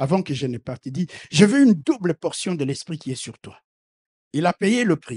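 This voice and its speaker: A man at a fairly slow pace, with very wide pitch swings and big swings in loudness, in a dry, close sound with no echo. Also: fairly high pitch for a man. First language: not French (speaking French). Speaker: preacher. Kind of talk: sermon. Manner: animated.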